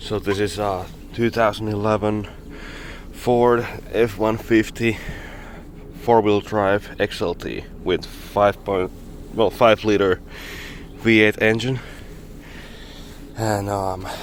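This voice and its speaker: A man with a non-native accent speaks very slowly at a fairly low pitch, in a monotone, flat intonation. His long, frequent pauses sit over noticeable background noise. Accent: non-native English pronunciation. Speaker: mechanic. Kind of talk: casual talk to camera, repair walkthrough. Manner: hesitant, stuttering.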